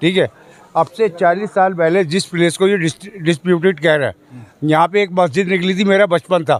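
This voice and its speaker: Heard in a dry, close sound with no echo, a man speaks at a moderate pace with a high pitch, fairly even intonation and very even loudness. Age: 60s. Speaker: local resident. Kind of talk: street interview.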